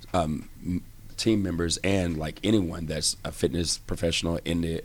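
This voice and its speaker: In a very clean recording with a silent background, a man speaks with an American accent. His pitch is very deep and low, and his pace is moderate. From Texas. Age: 40s. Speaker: fitness club manager. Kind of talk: casual interview.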